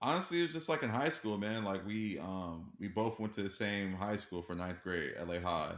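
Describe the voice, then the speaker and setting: A man with an American accent speaks at a fairly low pitch and a moderate pace. His intonation is lively, with hardly any pauses. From Los Angeles, California. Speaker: music industry professional. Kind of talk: casual interview.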